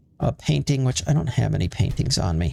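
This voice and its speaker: A man's somewhat breathy voice at a medium pitch. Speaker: gaming video creator. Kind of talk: gameplay commentary. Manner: casual, hesitant with fillers.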